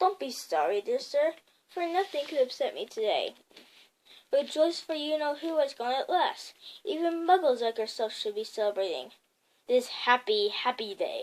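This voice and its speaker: Putting on a squeaky character voice, a woman speaks at a high pitch with very wide pitch swings. Her pace is moderate. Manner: joyful, delighted.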